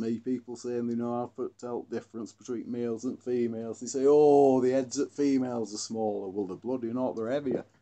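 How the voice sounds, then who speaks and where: With a Derbyshire accent, a man talks at a fairly quick pace in a medium pitch. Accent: northern English, Glossop dialect. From Glossop, northern England. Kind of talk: casual educational talk.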